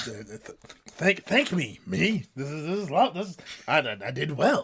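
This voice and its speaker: Putting on a character voice, a man with a fairly high pitch speaks at a moderate pace, with very wide pitch swings and big swings in loudness. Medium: actual play. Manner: hesitant, polite.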